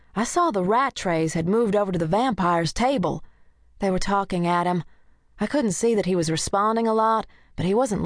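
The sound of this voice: Pitch moves in an ordinary way as the speaker reads in an unforced reading voice.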